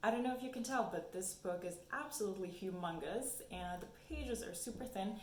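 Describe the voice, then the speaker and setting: A woman with a German accent speaks at a fairly quick pace and medium pitch, her intonation lively, amid noticeable background noise and audible room echo. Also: hardly any pauses. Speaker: book YouTuber. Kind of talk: casual vlog talk.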